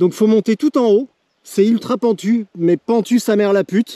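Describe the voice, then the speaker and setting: High in pitch, this man has a dark, mellow tone. The sound is dry and close, with no echo. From France, Berry (Cher, La Châtre). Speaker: cycling vlogger. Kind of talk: vlog narration while riding. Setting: outdoors on a bike trip. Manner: casual, hesitant with fillers.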